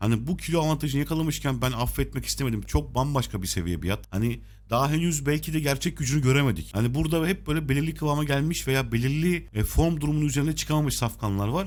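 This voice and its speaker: Very fast, somewhat breathy speech from a man at medium pitch with lively intonation. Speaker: horse racing tipster. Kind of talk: tutorial.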